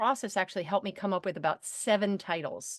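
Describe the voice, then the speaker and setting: A woman talks at a very fast pace with a medium-pitched voice. The background is quiet, and the sound is dry and close with no echo. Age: 60s. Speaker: entrepreneur and author. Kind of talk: interview. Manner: animated.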